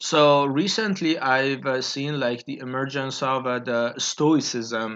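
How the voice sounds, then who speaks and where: A man with a Persian accent at a very slow pace, hardly any pauses. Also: medium pitch for a man, ordinary pitch variation. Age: 20s. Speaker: YouTuber. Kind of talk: solo monologue. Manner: halting, many fillers.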